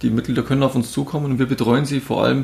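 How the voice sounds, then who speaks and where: Very fast speech full of vocal fry. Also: man. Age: 30s. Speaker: insurance advisor. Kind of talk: interview. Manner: animated.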